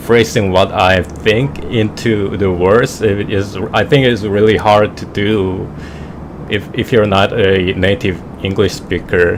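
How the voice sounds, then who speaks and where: Amid noticeable background noise, a man with a Korean accent talks at a very slow pace with fairly even intonation. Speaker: flight simulator streamer. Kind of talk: casual chat. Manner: halting.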